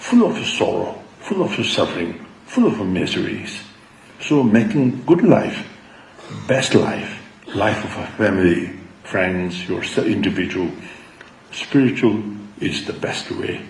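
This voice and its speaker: Amid noticeable background noise and audible room echo, a man at a medium pitch speaks at a fairly slow pace with very wide pitch swings. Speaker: Buddhist teacher. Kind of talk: dharma talk.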